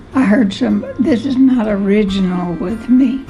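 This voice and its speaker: Over music in the background, a woman at a medium pitch talks at a very slow pace with ordinary pitch variation. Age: 80s+. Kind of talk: interview answer.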